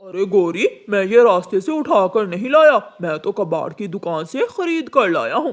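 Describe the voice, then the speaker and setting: This is a cartoonish character voice. It moves at a moderate pace with hardly any pauses. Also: man, high pitch for a man. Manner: casual, self-justifying.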